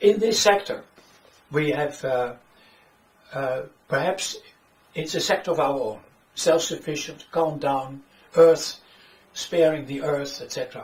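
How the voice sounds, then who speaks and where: Speaking slowly with long, frequent pauses, a man with a Dutch accent uses a fairly high pitch and ordinary pitch variation. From Netherlands. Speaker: author and economics critic. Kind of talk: lecture. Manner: halting.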